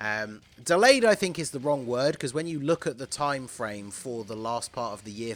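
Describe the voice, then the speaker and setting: Using lively intonation, a man with a British accent speaks at a medium pitch and moderate pace on a very clean recording with a silent background. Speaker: gaming YouTuber. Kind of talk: gaming commentary video.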